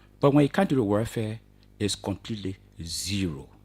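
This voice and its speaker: Breathy in a mild way, a man at medium pitch speaks at a fairly quick pace with lively intonation, recorded very cleanly against a silent background. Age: 60s. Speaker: retirees' association official, retired teacher. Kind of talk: radio interview. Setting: radio studio.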